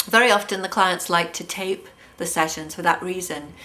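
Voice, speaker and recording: With an English accent, a woman speaks at a medium pitch. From England. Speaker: hypnotherapist. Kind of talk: self-introduction video monologue. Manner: hesitant, many fillers.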